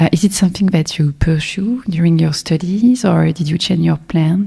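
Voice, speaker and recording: A somewhat breathy woman's voice, fairly low in pitch, with a dark, mellow tone, a French accent, ordinary pitch variation and a moderate pace. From France. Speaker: podcast host. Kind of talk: interview.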